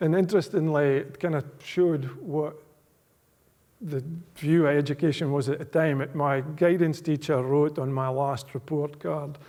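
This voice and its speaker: A man with a strong Aberdeenshire accent, a fairly high pitch and a dark, mellow tone, at a moderate pace with fairly even intonation. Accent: strong rural Aberdeenshire Scots. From Scotland, rural Aberdeenshire. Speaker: business executive giving a guest lecture. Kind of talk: public lecture.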